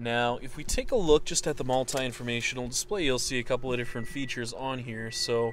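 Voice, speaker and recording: Speech at a very fast pace comes through with a dry sound, no echo and light background noise. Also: man. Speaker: car salesperson. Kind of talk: vehicle walkaround commentary. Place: car. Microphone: phone near.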